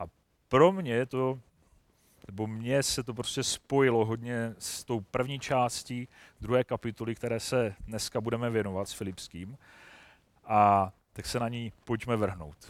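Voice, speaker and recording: A man with an ordinary speaking voice talks fairly slowly at a medium pitch with ordinary pitch variation. The recording is very clean, and the background is silent. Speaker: lay preacher. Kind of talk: sermon.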